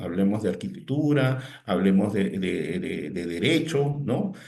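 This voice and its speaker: In a room with audible echo, a man speaks fairly slowly at medium pitch, with vocal fry and very wide pitch swings. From Peru. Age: 60s. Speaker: technology consultant and lecturer. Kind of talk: webinar talk. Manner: halting, repeats words.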